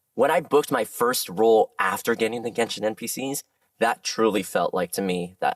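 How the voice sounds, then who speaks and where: In a dry, close sound with no echo, a man talks in an animated tone at a fairly quick pace with an American accent. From Southern California. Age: 30s. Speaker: voice actor. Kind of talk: interview chat.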